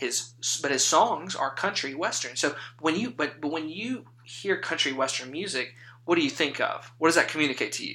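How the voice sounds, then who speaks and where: With noticeable background noise behind him, a man with a Louisiana accent talks at a moderate pace in a fairly high pitch, his intonation lively. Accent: Southern US (Louisiana). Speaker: podcast host, seminary student. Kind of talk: casual chat.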